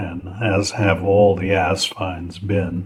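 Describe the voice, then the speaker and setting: A man speaks at a very slow pace in a somewhat breathy voice of fairly low pitch. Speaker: fountain pen reviewer and seller. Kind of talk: product review talk to camera. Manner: casual, unhurried.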